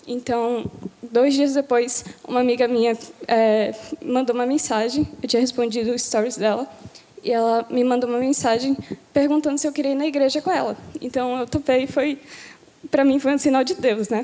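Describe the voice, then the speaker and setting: A woman's high pitch in fairly even intonation, with long, frequent pauses and noticeable background noise. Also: moderate pace. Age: 18. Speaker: baptism candidate. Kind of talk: testimony. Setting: church.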